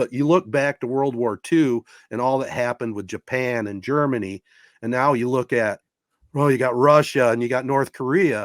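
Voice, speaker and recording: In a very clean recording with a silent background and a dry, close sound with no echo, a man with an American accent uses an ordinary speaking voice at a medium pitch, a moderate pace, and ordinary pitch variation. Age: 60s. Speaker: sports podcast host. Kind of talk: casual chat.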